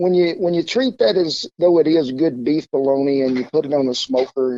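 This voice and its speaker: Speaking with an Oklahoma accent, a man uses a dark, mellow tone at a fairly quick pace with fairly even intonation. The sound is dry and close, with no echo. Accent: Oklahoma Southern. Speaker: cowboy cook. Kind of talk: interview answer.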